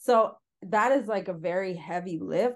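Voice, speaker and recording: A woman with an ordinary speaking voice talks at a fairly slow pace in a medium pitch, with ordinary pitch variation over a quiet background. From Northern Ontario, Canada. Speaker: antiracism educator and former park interpreter. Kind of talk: interview.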